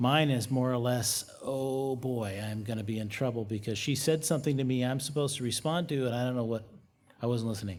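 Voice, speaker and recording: Audible room echo surrounds a man speaking at a fairly quick pace and a medium pitch. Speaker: pastor. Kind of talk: sermon. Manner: monotone.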